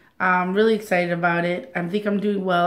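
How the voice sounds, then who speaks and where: Audible room echo surrounds a woman speaking at a fairly quick pace in a medium pitch with ordinary pitch variation. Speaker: weight loss vlogger. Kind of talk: casual vlog. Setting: at home.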